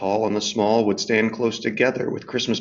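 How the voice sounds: A natural reading voice is heard throughout.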